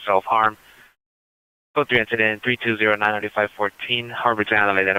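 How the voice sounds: A man's fairly low pitch with little pitch movement, a clear, smooth yet bright, sharp tone, dry and close with no echo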